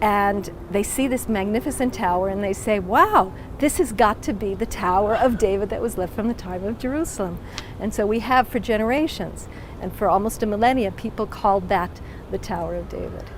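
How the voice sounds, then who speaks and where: At a fairly quick pace, a woman with an American accent speaks at a medium pitch with ordinary pitch variation over noticeable background noise. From United States. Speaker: museum director. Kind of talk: interview.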